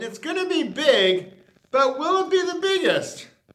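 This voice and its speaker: Extremely high pitch in a man's put-on character voice, delivered at a moderate pace. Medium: read story. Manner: warm, conspiratorial.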